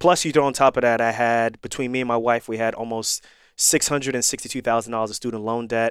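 A man with an American accent talks very fast with fairly even intonation. The recording is very clean with a silent background, and the sound is dry and close with no echo. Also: medium pitch for a man. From New York and Irvington, New Jersey. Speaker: trauma surgeon and podcast host. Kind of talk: interview conversation.

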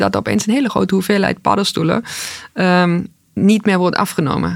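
A woman with a plain, everyday voice talks at a medium pitch and a moderate pace. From East Germany. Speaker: food entrepreneur. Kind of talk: interview.

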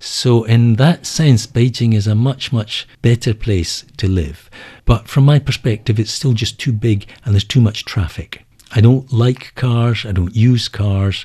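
Speaking fairly slowly with an Edinburgh accent, a man uses a medium-pitched, somewhat breathy voice with a dark, mellow tone and ordinary pitch variation. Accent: Scottish (Edinburgh). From Scotland (Edinburgh). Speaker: book editor. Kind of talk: interview. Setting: studio.

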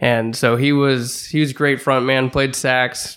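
Here a man speaks with a St. Louis accent. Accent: Midwestern American (St. Louis). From St. Louis area, Missouri. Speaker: musician. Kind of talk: casual chat.

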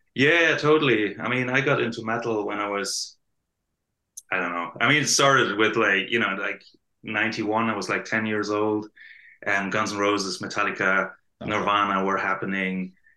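A man with a German accent talks at a moderate pace. His fairly low voice has a bright, sharp tone and ordinary pitch variation. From southern Germany, near Stuttgart. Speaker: metal band bassist. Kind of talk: casual interview chat. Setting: video call.

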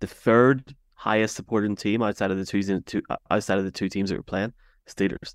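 With an Irish accent, a man speaks at a fairly quick pace in a fairly low pitch with fairly even intonation, the sound dry and close with no echo on a very clean recording with a silent background. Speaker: sports podcast host. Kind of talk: casual chat.

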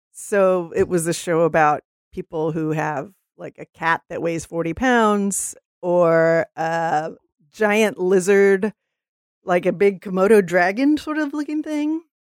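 At a very slow pace, a woman with an American accent speaks at medium pitch with big swings in loudness, the sound dry and close with no echo on a very clean recording with a silent background. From Texas. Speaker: city council candidate. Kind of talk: interview answers. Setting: studio.

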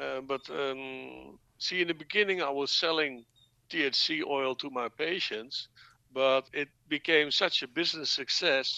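Dry, close sound with no echo carries a man's voice. He speaks with a Dutch accent at a fairly slow pace. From Netherlands (born in Dutch New Guinea). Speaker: cannabis entrepreneur. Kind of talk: interview. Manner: halting.

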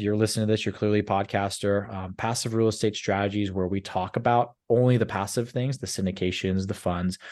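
A man has an ordinary speaking voice, fairly low in pitch, with fairly even intonation. He talks at a fairly quick pace against a quiet background. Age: 30s. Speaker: commercial real estate investor, former sales professional. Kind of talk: podcast interview. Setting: virtual studio.

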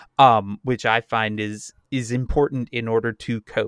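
Recorded very cleanly against a silent background, a man speaks at a medium pitch in a dry, close sound with no echo. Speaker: podcast co-host. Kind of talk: casual chat. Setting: home basement. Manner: laughs a lot.

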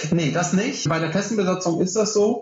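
The pitch shows ordinary variation. The speaker is a man. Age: 30s. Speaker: ship's officer and maritime trainer. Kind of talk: interview.

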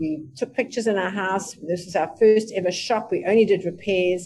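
A woman's dark, mellow tone, with ordinary pitch variation and a moderate pace. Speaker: family business executive and trainer. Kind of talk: personal story in a virtual panel talk. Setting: video call.

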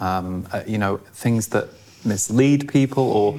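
A man's fairly low-pitched voice with an English accent and ordinary pitch variation. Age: 40s. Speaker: podcast host. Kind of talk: casual interview.

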